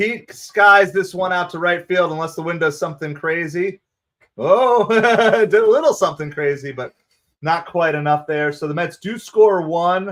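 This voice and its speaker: With a New Jersey accent, a man speaks at a high pitch. He keeps a moderate pace. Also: ordinary pitch variation. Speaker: baseball livestream host. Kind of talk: live fan play-by-play commentary. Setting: livestream. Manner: animated.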